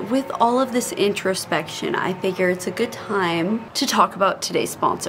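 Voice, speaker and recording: Against noticeable background noise, the speech moves at a moderate pace with lively intonation and hardly any pauses. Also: woman. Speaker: vlogger. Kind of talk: casual vlog chat. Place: garden. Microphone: camera far.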